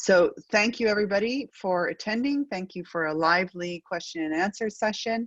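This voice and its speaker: A woman with a strong Acadian accent and a medium pitch speaks with hardly any pauses and ordinary pitch variation, recorded dry and close with no echo against a quiet background. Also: moderate pace. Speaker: research network moderator. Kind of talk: panel webinar moderation.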